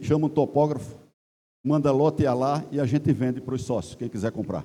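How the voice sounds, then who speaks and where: A man's fairly high voice at a moderate pace. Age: 60s. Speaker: club member, chemical engineer. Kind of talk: assembly floor speech. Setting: general assembly with audience.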